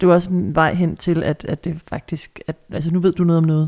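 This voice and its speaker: A woman speaks at a fairly slow pace. Her voice is fairly low, with a dark, mellow tone. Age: 30s. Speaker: radio host and podcast co-host. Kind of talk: casual chat. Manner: halting, many fillers.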